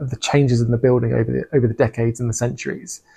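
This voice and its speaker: A man's somewhat breathy, dark, mellow voice at a medium pitch, with fairly even intonation. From England. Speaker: renovation vlogger. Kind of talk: casual narration of video. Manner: hesitant, with fillers.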